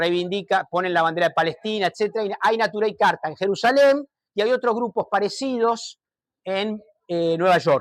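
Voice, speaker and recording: A man with a Rioplatense accent speaks at a moderate pace in a high pitch with ordinary variation. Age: 60s. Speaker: speaker on politics and Judaism. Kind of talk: talk to an audience. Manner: hesitant, many fillers.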